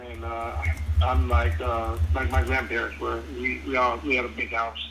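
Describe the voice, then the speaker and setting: Over noticeable background noise and audible room echo, a man with a very deep, low voice speaks at a moderate pace, his pitch swinging very widely. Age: 70s. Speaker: prospective home buyer. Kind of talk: phone conversation. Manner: halting, repeats words.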